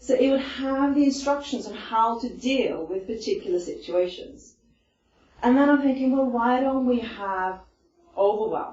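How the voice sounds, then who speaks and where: Delivered at a moderate pace, the voice carries audible room echo. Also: woman. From Iceland. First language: Icelandic. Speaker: stress management presenter. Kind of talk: talk to a group. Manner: conversational, with many fillers.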